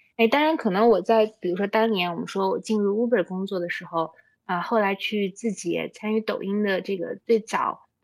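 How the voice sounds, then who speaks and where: A woman speaks at a moderate pace with hardly any pauses. Her medium-pitched voice shows ordinary pitch variation. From China, Xinjiang. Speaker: startup founder. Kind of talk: interview conversation. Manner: hesitant fillers.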